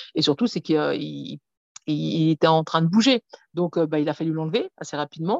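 Lively in intonation and very deep and low in pitch, a woman talks at a moderate pace in a dry, close sound with no echo. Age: 40s. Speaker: author of a memoir on weight and trauma. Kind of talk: interview.

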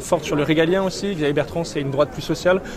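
A man speaks in a monotone, flat intonation at a fairly high pitch, with noticeable background noise. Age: 20s. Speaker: youth political movement leader. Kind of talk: interview.

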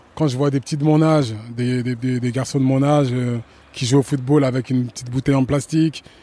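There is noticeable background noise as a man speaks at medium pitch and a moderate pace with fairly even intonation. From France. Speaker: football coach and former player. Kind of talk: interview.

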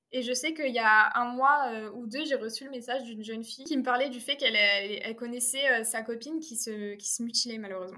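Talking at a fairly quick pace, the woman has a high pitch, a bright, sharp tone and fairly even intonation. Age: 20s. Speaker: filmmaker and actress. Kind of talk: interview. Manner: halting.

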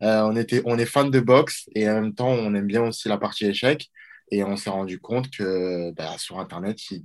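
A man is speaking here. His pitch varies in an ordinary way, at a moderate pace. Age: 20s. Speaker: watch brand co-founder. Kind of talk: interview. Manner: halting, with repetitions.

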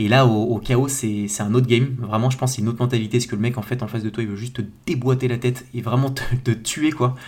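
At a fairly quick pace, a man speaks with a medium pitch and monotone, flat intonation. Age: 30s. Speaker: agency founder and podcaster. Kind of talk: solo podcast monologue. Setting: home bedroom. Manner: casual, hesitant with many fillers.

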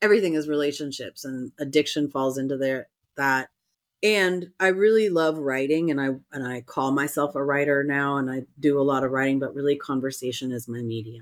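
Her pitch very deep and low, a woman with an American accent talks at a fairly quick pace with ordinary pitch variation. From US West Coast, San Francisco Bay Area. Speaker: sex and relationship coach, podcast co-host. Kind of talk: casual chat.

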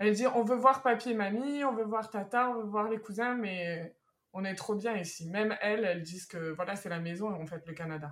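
At a moderate pace, a woman talks in an unremarkable speaking voice at medium pitch with ordinary pitch variation. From France. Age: 30s. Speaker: expatriate interviewee. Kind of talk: interview.

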